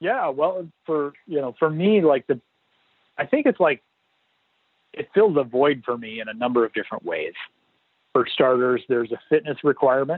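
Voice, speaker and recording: A man with an American accent speaks in a fairly high pitch at a moderate pace. He leaves long, frequent pauses. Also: lively intonation. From US Midwest, northwest Iowa. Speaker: former Navy SEAL. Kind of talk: interview. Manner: hesitant, many fillers.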